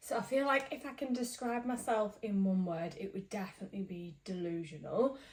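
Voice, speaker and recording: A woman speaks in a British accent at a fairly quick pace. Her pitch is fairly high, and her intonation is lively. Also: hardly any pauses. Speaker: knitting vlogger. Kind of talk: casual chat.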